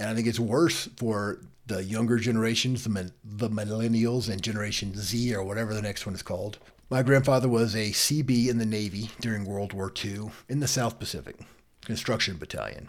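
With an American accent, a man speaks in an unremarkable speaking voice of medium pitch and fairly even intonation. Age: 50s. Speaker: legal podcast host. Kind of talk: solo commentary podcast.

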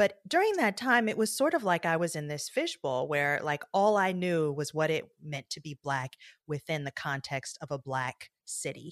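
An unremarkable speaking voice with an American accent moves at a moderate pace with lively intonation and hardly any pauses, in a very clean recording with a silent background and a dry, close sound with no echo. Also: woman. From US Midwest, Detroit, Michigan. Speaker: journalist and podcast host. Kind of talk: interview conversation.

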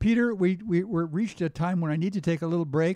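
Against a quiet background, a man with a dark, mellow tone speaks fairly quickly with ordinary pitch variation, the sound dry and close with no echo. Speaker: radio host. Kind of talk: radio interview.

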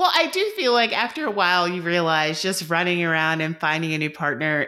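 In an American accent, a woman with a fairly low pitch and a bright, sharp tone speaks at a moderate pace with ordinary pitch variation, on a very clean recording with a silent background. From US South, coastal southeast Georgia. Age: 30s. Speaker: dietitian. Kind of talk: casual chat.

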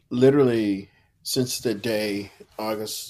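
The speaker talks with an American accent and fairly even intonation. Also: man. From Texas, Houston. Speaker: coffee industry professional, nonprofit founder. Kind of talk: interview conversation. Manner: passionate.

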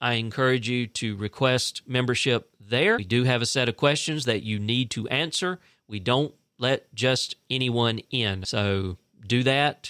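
A man with a Southern US accent speaks at medium pitch in a bright, sharp tone with ordinary pitch variation. The recording is very clean, with a silent background and a dry, close sound with no echo. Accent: Southern US (Georgia). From US South, South Central Georgia (Fitzgerald). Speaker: local news podcast host. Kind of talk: news reading.

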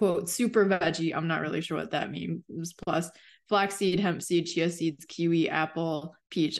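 Her fairly low-pitched voice carries vocal fry as the woman speaks. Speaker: podcast co-host. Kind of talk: casual chat.

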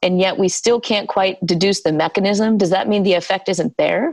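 With an American accent and an ordinary speaking voice, a woman talks at a fairly quick pace at a medium pitch. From US South, South Carolina. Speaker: scientist and founder of a healing research initiative. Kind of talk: interview. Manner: conversational with fillers.

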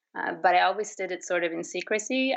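A woman speaks with a Swedish accent. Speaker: artist. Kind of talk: interview. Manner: hesitant, with fillers.

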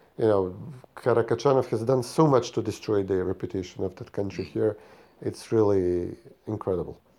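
In a Macedonian accent, a man speaks at a fairly quick pace with ordinary pitch variation. His pitch is fairly low and his tone dark and mellow. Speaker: podcast co-host. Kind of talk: casual political chat.

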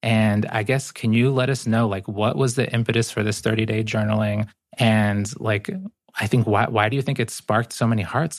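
A man with an American accent speaks at medium pitch in an ordinary speaking voice, with fairly even intonation, a moderate pace and very even loudness. The recording is very clean, with a silent background. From Ecuador (Guayaquil), raised in the US. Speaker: poet and author. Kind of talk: casual conversation.

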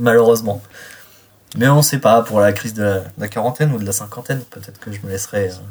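Speaking at a very fast pace, a man uses a medium pitch. His loudness swings widely. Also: ordinary pitch variation. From Reims, France. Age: 30s. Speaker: car enthusiast. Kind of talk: interview. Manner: halting.

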